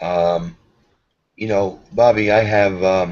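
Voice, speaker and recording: A man with a New York accent talks at a fairly slow pace, keeping his intonation fairly even. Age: 50s. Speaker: karate instructor. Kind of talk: video call chat.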